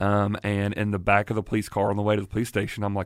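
A man with a Southern US accent, his fairly low voice moving at a very fast pace. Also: very clean recording, silent background. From South Carolina, Greenwood. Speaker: pastor. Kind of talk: casual interview.

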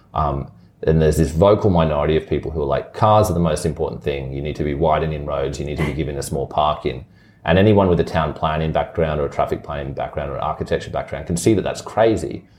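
With an Australian accent, a man talks at a very fast pace in a very deep, low pitch. His voice has vocal fry and ordinary pitch variation. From Brisbane, Australia. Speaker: city councillor. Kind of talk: interview.

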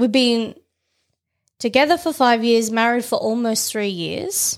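A woman speaks with an Australian accent at a moderate pace. Her pitch is fairly high. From Tasmania, Australia. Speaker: podcast host. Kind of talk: casual chat.

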